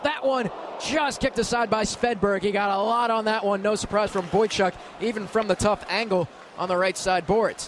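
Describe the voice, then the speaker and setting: An excited man's high voice, very even in loudness, with ordinary pitch variation and noticeable background noise. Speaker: radio play-by-play announcer. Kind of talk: live hockey play-by-play. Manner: fast, excited.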